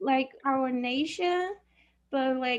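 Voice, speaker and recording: A woman with a Chinese accent speaks at a very slow pace in a high voice. The background is quiet. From China. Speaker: university student. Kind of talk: class discussion. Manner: halting.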